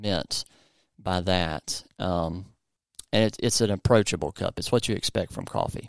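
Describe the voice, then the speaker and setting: Captured in a very clean, dry, close recording with a silent background and no echo, a man with a Southern US accent talks at a fairly slow pace with ordinary pitch variation. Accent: southern drawl. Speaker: podcast host and coffee roaster. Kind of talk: casual educational chat.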